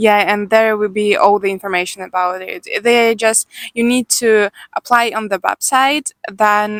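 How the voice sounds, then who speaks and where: Speaking fairly slowly with a Ukrainian accent, a woman holds a medium pitch and fairly even intonation in a dry, close sound with no echo. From Ukraine, Odessa. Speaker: Ukrainian newcomer worker. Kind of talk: interview. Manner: halting.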